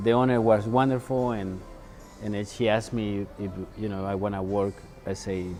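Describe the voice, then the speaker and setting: Over music in the background, a man with a Mexican accent speaks at a fairly low pitch. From Mexico, Puebla. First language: Spanish. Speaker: chef. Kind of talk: interview. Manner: halting, many fillers.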